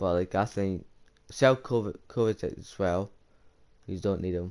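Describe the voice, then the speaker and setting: Against a quiet background, a man speaks in an ordinary speaking voice, fairly low in pitch with ordinary pitch variation. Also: moderate pace. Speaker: gaming youtuber. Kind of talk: casual commentary on video game.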